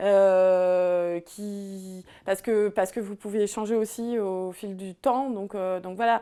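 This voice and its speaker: At a very slow pace with hardly any pauses, a woman speaks at a medium pitch in a dark, mellow tone, her intonation monotone and flat but her loudness swinging widely, on a very clean recording with a silent background. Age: 30s. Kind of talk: interview answer. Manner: hesitant, many filler sounds.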